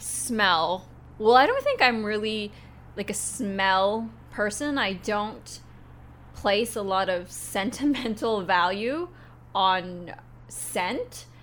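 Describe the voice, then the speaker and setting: A woman with a western Canadian accent at a very slow pace, with long, frequent pauses and ordinary pitch variation. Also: medium pitch for a woman. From Canada, Vancouver. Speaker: office worker. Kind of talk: casual chat.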